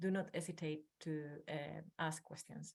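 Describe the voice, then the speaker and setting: This woman talks with a strong Spanish accent. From northern Spain. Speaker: academic researcher. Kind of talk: webinar presentation.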